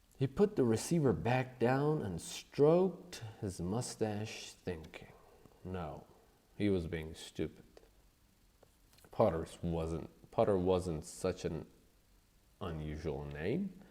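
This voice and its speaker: A man with a non-native accent and a very deep, low pitch speaks at a very slow pace with long, frequent pauses, his dark, mellow tone paired with lively intonation. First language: not English. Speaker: audiobook narrator. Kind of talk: reading aloud.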